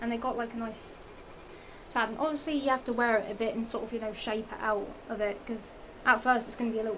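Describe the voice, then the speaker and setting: A woman's very fast, monotone, flat speech in a Norfolk accent, with audible room echo. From England, Norfolk. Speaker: fashion vlogger. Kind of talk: casual haul vlog. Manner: rambling, halting with fillers.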